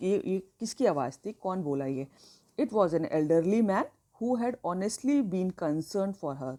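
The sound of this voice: The reading voice is unforced. Its intonation moves in a lively way.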